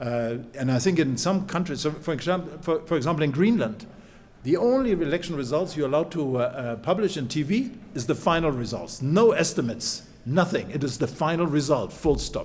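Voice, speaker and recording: The delivery moves at a fairly quick pace with lively intonation. Audible room echo can be heard. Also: man, fairly high pitch for a man. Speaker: professor. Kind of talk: conference talk. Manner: fast.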